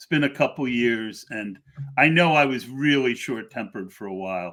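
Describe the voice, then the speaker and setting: A man with a normal speaking voice talks at a moderate pace and a medium pitch, with ordinary pitch variation. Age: 60s. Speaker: podcast host. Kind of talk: casual chat.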